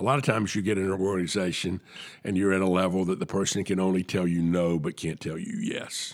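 Very rapid delivery from a man with a very deep, low pitch and fairly level intonation. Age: 60s. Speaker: podcast host and sponsorship marketing consultant. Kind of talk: casual interview and solo business commentary. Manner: conversational, hesitant with filler words.

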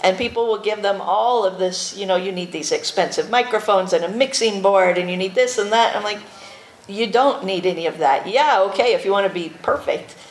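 A woman talks at a medium pitch with ordinary pitch variation. Noticeable noise sits in the background. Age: 40s. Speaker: podcast host. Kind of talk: convention panel talk.

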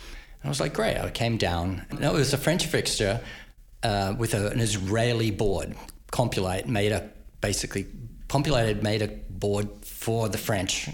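Vocal fry at a moderate pace, with ordinary pitch variation and audible room echo. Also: man, fairly low pitch for a man. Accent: Australian. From Australia, Queensland. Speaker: lighting programmer. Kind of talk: interview. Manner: halting.

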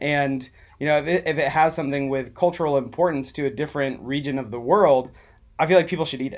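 On a very clean recording with a silent background, a man with a fairly high pitch and an American accent talks at a very fast pace with fairly even intonation. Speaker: food podcast host. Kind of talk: casual interview. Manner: halting.

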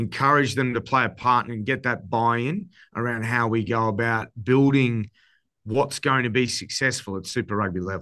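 A man's bright, sharp voice with an Australian accent and ordinary pitch variation, against a quiet background. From Queensland, Australia. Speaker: rugby coach. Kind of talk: casual interview chat.

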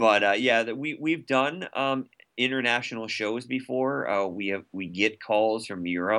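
Over a quiet background, a man with an American accent speaks at a fairly slow pace in a medium-pitched voice with a bright, sharp tone. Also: ordinary pitch variation. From United States. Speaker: founder of a murder mystery theater company. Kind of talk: podcast interview.

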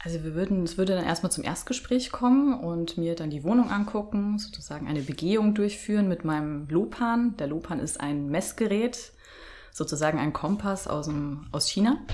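A woman speaks in a plain, everyday voice at a fairly low pitch. Her pace is moderate and her intonation lively. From Bavaria, Germany. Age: 30s. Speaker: feng shui consultant. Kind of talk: interview.

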